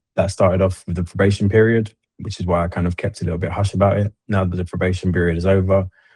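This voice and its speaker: Against a quiet background, a man speaks very fast in a very deep, low, somewhat breathy voice with monotone, flat intonation. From London, England. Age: 30s. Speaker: army veteran turned cybersecurity consultant. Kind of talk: interview.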